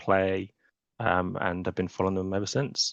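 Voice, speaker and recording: A man speaks with a British accent at a fairly low pitch. His pace is moderate, his intonation fairly even, and the background quiet. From England. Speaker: software architect. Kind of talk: webinar interview. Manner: hesitant, many fillers.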